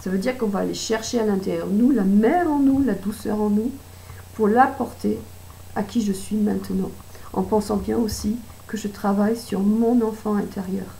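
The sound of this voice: A woman puts on a character voice that is raspy and hoarse. It sits at a medium pitch and moves at a moderate pace.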